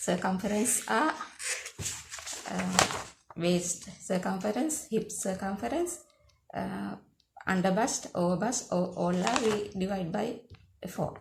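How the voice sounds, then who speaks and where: A woman with a Sri Lankan accent at medium pitch, talking at a very slow pace with long, frequent pauses over noticeable background noise. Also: ordinary pitch variation. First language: Sinhala. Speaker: sewing teacher. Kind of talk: tutorial. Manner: halting, many fillers.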